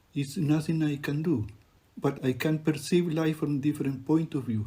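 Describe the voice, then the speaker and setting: A man's fairly high-pitched, somewhat breathy voice with a dark, mellow tone. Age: 70s. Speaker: refugee photographer and poet. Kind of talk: narrated exhibition talk.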